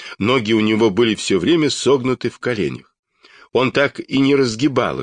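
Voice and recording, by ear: With ordinary pitch variation, a natural voice reads aloud, and the background stays quiet.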